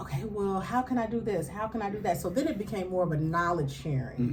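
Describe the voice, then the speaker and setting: A woman talks at a moderate pace with ordinary pitch variation. Audible room echo and noticeable background noise are present. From Kansas City, Missouri. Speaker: radio host and author. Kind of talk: interview.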